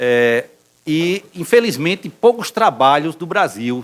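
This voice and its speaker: A man does the talking. His voice rises and falls in very wide pitch swings. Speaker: neurologist professor. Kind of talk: medical lecture. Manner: halting, many fillers.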